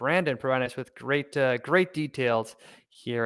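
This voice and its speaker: A man, in a very clean recording with a silent background. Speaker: investing channel host. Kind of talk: live stock research discussion. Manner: fast; hesitant, many fillers.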